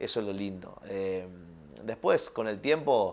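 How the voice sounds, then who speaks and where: A fairly low-pitched man at a fairly slow pace. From Argentina, Córdoba province (Villa María). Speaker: film and television director. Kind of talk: interview. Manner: hesitant, many fillers and repetitions.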